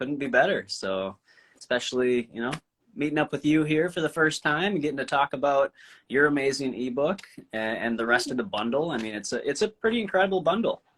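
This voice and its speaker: With an Upper Midwest accent, a man speaks fairly quickly in a fairly high pitch with lively intonation, on a very clean recording with a silent background. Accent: Upper Midwest American. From Minnesota, US. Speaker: vegan content creator. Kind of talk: casual chat.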